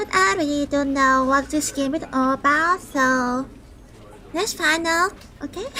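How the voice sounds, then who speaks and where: In a Vietnamese accent, the voice is raised and projected at a fairly slow pace. Pitch varies in an ordinary way, and background noise is noticeable. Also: woman, high pitch for a woman. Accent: Vietnamese accent, self-described as weird. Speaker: vtuber streamer. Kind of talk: game livestream chat. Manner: hesitant, halting.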